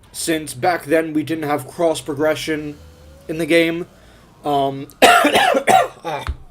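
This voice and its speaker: Noticeable background noise runs under the recording. The man's pitch is fairly high. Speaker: gaming streamer. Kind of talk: gameplay commentary. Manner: halting, many fillers.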